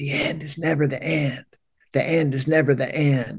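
In an East Tennessee accent, a man talks at a moderate pace with a fairly high pitch, ordinary pitch variation and a dark, mellow tone. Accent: US South (East Tennessee). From Knoxville, Tennessee. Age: 50s. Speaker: pastor and counselor. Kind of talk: casual chat. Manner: halting.

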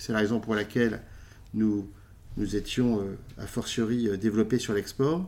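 Fairly slow speech from a man at a medium pitch. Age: 40s. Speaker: food company executive. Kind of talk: interview. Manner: halting, many repetitions.

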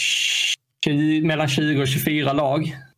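This is a man speaking. His pace is very slow. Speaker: league founder. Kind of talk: casual podcast interview.

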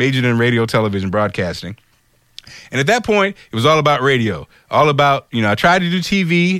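On a very clean recording with a silent background, a man with an American accent speaks very fast in a medium pitch, with very wide pitch swings and very even loudness. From US Midwest. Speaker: radio host. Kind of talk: casual interview chat. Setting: studio.

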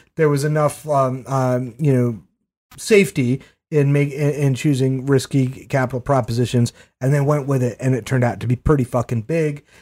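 Dark and mellow in tone, a man speaks at a moderate pace with an American accent. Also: medium pitch for a man, fairly even intonation. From Maine, US. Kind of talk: casual chat.

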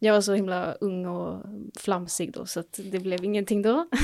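A woman at a medium pitch and a moderate pace, with fairly even intonation. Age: 20s. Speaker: nursing student. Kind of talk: casual chat.

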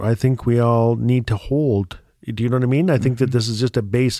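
A man's medium-pitched voice with a dark, mellow tone in a northern Canadian accent at a fairly quick pace. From Northwest Territories, northern Canada. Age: 50s. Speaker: writer and storyteller. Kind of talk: casual conversation. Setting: recording studio.

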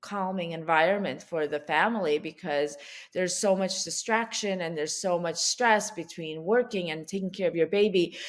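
A woman with an ordinary speaking voice talks at a moderate pace with ordinary pitch variation. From US (moved from Ukraine at age seven). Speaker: founder of a baby wellness brand, author. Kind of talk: podcast interview.

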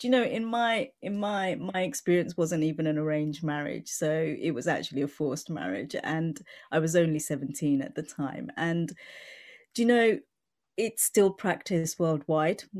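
A woman with a British accent and fairly low pitch, speaking at a moderate pace with lively intonation on a very clean recording with a silent background. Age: 40s. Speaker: mental health advocate and CEO. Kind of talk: interview, conversational.

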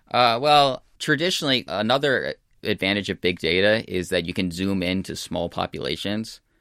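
With an American accent, a man speaks at a moderate pace and fairly low pitch in a bright, sharp tone with lively intonation, in a very clean recording with a silent background and a dry, close sound with no echo. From United States. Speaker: data scientist and author. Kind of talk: interview. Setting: studio.

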